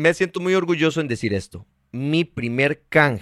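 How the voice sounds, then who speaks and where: A man speaks in an ordinary speaking voice with lively intonation at a moderate pace, recorded very cleanly against a silent background with a dry, close sound and no echo. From Costa Rica, Heredia. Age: 30s. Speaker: actor and TV presenter. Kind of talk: interview.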